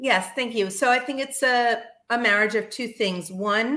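With an American accent, a woman speaks in a bright, sharp tone. She keeps a fairly slow pace. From US South, Miami, Florida. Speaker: cooking class instructor. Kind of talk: casual chat.

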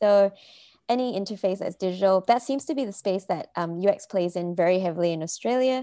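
Lively intonation and big swings in loudness at a very fast pace, in a very clean recording with a silent background. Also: woman, medium pitch for a woman. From Malaysia. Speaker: UX designer. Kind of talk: casual interview. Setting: podcast interview.

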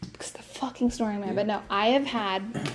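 Speaking at a moderate pace, a woman uses a fairly high pitch and fairly even intonation in a plain, everyday voice. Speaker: podcast co-host. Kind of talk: casual chat. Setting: in person with co-hosts.

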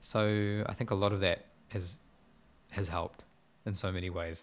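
Fairly even intonation in a New Zealand accent. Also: man. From New Zealand, Porirua. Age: 20s. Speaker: musician and producer. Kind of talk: interview. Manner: laughs often.

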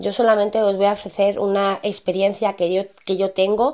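A woman's dark, mellow voice in a monotone, flat delivery. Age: 30s. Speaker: podcast host, online marketer. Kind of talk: casual monologue. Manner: hesitant, many fillers.

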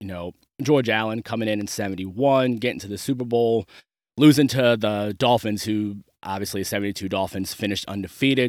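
A man with a plain, everyday voice, fairly low pitch, moderate pace, and a dry, close sound with no echo. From Maryland, US. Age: 30s. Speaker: podcast host. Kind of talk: solo commentary monologue.

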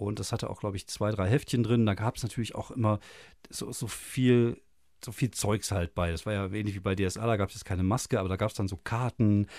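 The man has an unremarkable speaking voice, fairly low in pitch. His intonation is fairly even and his pace fairly quick. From Germany. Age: 40s. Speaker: podcast host. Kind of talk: casual chat. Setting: small home studio.

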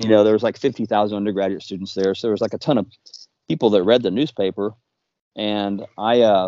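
Here a man talks at a fairly quick pace in an unremarkable speaking voice. His pitch is fairly low and his intonation fairly even. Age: 50s. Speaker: magazine founder and writer. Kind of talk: casual chat.

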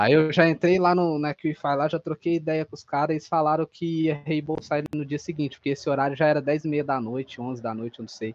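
In an ordinary speaking voice, a man talks at a fairly quick pace with hardly any pauses, a fairly high pitch and fairly even intonation, in a dry, close sound with no echo. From Minas Gerais, Brazil. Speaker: affiliate marketer, content creator. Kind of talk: casual interview.

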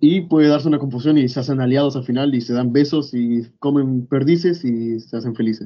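With a Rioplatense accent, a man speaks at a medium pitch and a fairly quick pace, with fairly even intonation and hardly any pauses. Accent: Argentine Rioplatense Spanish. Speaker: podcast co-host. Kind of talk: casual chat.

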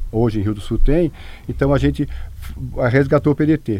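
This is a man speaking. His pitch moves up and down in an ordinary way. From Santa Catarina, Brazil (Rio do Sul area). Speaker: local party president. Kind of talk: radio interview. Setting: radio studio. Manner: halting.

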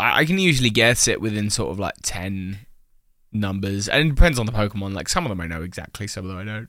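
Talking at a very fast pace, a man with a British accent has a fairly low pitch. His pitch variation is ordinary, while his loudness swings widely. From England. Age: 20s. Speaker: podcast co-host. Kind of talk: casual chat. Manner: theatrical.

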